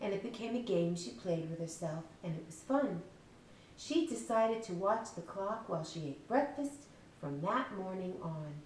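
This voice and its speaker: Over noticeable background noise, a woman speaks at a moderate pace with very wide pitch swings and big swings in loudness. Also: medium pitch for a woman. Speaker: children's book author reading her story aloud. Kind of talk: children's storybook reading.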